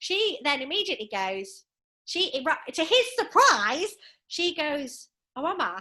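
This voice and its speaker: A woman with an English accent uses a raised, projected voice, her pitch swinging very widely. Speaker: author and gender justice specialist. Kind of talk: podcast interview. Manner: loud.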